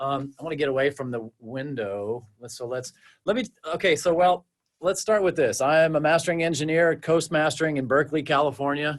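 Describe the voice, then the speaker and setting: This man speaks with an American accent and ordinary pitch variation. His pace is fairly quick. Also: fairly high pitch for a man. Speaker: mastering engineer. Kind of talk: webinar presentation. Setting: video livestream from his studio. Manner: halting; fast.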